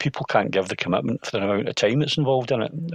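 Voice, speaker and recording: A man speaks with a Scottish accent. His intonation is lively. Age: 60s. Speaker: sports photographer. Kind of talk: podcast interview. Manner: halting, many fillers and restarts.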